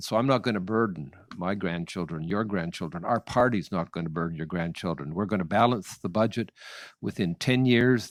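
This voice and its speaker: A man with a Nova Scotian accent, very deep and low in pitch, with ordinary pitch variation. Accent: Canadian (Nova Scotia). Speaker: political candidate. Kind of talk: political debate. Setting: candidates forum. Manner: halting.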